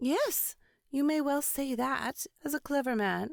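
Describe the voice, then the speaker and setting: In a very clean recording with a silent background, a woman uses a put-on, high-pitched character voice at a fairly slow pace. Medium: read story. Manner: homely, chatty.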